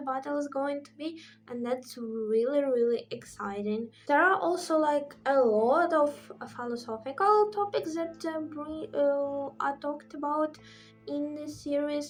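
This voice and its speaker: A woman with a high voice and ordinary pitch variation talks at a fairly slow pace. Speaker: book reviewer. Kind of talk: casual talk to camera.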